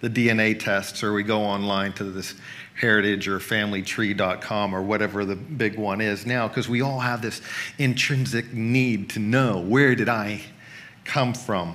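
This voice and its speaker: A man with a fairly low pitch, fairly even intonation and a moderate pace. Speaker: pastor. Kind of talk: sermon. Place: church. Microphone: headset.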